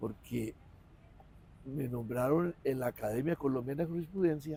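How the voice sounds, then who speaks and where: At a fairly slow pace, a man speaks in a fairly high pitch with ordinary pitch variation, a dark, mellow tone and a somewhat breathy quality. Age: 80s+. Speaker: lawyer and law professor. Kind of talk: interview.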